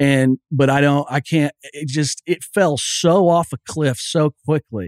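Heard in a dry, close sound with no echo, a man with a fairly high pitch speaks very slowly with ordinary pitch variation. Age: 30s. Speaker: sportswriter and novelist. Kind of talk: casual chat. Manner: halting.

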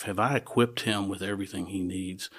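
A man's fairly low voice in a monotone, flat intonation at a moderate pace, on a very clean recording with a silent background. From Nashville, Tennessee. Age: 60s. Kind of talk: casual chat.

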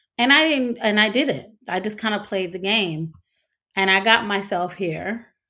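A woman speaks with a North Carolina accent in a bright, sharp tone at a moderate pace. Her pitch varies in an ordinary way, and the recording is very clean with a silent background. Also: medium pitch for a woman. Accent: Southern US (North Carolina). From US South, North Carolina. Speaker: stage actress and singer. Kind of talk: interview conversation.

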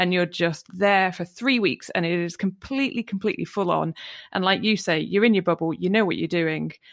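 Speaking with a Welsh accent, a woman at a medium pitch talks at a fairly quick pace with ordinary pitch variation. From North Wales. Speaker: podcast host. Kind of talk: interview.

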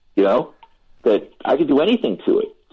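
Talking at a fairly quick pace, a man uses an American accent. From Philadelphia, US. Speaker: record producer. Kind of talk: interview.

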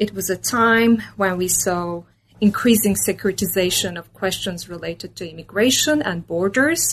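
This woman speaks at a moderate pace and a medium pitch. Her pitch variation is ordinary. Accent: Turkish. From Turkey (Istanbul). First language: Turkish. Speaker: political science professor. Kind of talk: interview.

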